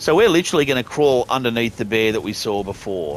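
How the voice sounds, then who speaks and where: Speaking with an Australian accent, a man at a medium pitch talks at a fairly quick pace with lively intonation. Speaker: gaming youtuber. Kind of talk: gameplay walkthrough commentary. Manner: casual, conversational.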